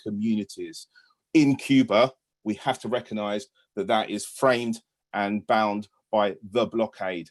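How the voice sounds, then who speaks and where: A man with a British accent, medium pitch and fairly even intonation, in a dry, close sound with no echo. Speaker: British teacher on union delegation to Cuba. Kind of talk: panel talk on video webinar. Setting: video call.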